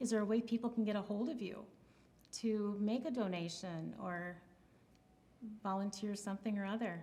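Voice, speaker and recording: With noticeable background noise behind her, a woman of medium pitch speaks at a moderate pace, leaving long, frequent pauses. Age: 60s. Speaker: community TV show host. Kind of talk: scripted sign-off; casual interview chat.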